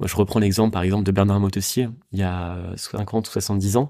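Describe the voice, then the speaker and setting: Captured in a very clean recording with a silent background, a dark, mellow voice moves at a moderate pace in monotone, flat intonation. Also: man. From Paris region, France. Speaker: sailor and adventurer. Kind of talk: interview.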